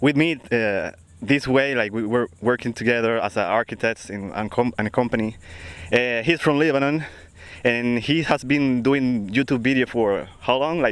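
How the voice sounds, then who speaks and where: With a Spanish accent, a man speaks at a medium pitch with ordinary pitch variation. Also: moderate pace. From Dominican Republic. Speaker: podcast co-host, architect. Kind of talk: casual chat. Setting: outdoors on a beach.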